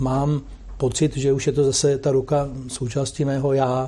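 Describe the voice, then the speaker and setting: Somewhat breathy and dark, mellow in tone, a man's fairly high voice holds a monotone, flat intonation. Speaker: sports commentator. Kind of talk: interview.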